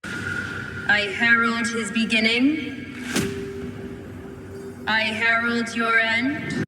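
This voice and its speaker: A robotic, put-on character voice sounds female and sits fairly high in pitch. It moves at a very slow pace. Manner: pathetic, stiff.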